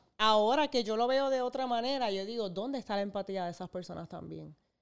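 On a very clean recording with a silent background, a woman has a plain, everyday voice with ordinary pitch variation. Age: 30s. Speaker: content creator. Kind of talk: testimony.

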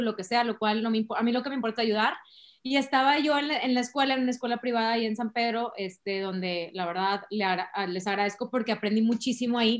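A woman's high-pitched, animated voice at a fairly quick pace, with ordinary pitch variation. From Monterrey, Mexico. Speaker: human resources director. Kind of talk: interview.

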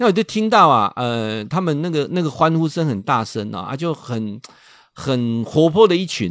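At a moderate pace, a man speaks in an animated tone at a fairly high pitch with very wide pitch swings, over a quiet background. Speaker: radio host and professor. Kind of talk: radio talk monologue. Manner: animated, many filler particles.

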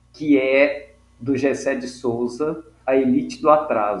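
This man's speech shows ordinary pitch variation. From Minas Gerais, Brazil (Mariana). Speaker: pharmacist and activist. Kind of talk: interview.

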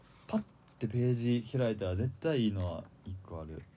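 The voice is somewhat breathy, with a dark, mellow tone. Its intonation is lively. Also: man. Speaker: tanka poet. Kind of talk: casual chat. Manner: fast when excited.

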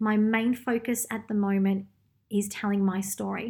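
On a very clean recording with a silent background, a woman speaks at a medium pitch in a somewhat breathy voice with monotone, flat intonation. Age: 30s. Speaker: podcast host. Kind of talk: solo podcast monologue; guided meditation.

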